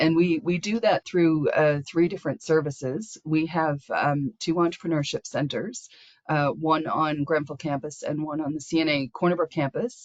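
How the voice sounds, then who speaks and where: A woman speaks with a very deep, low pitch and ordinary pitch variation. Her moderate pace leaves hardly any pauses. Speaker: small business support program host. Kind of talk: webinar presentation. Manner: halting, repeats words.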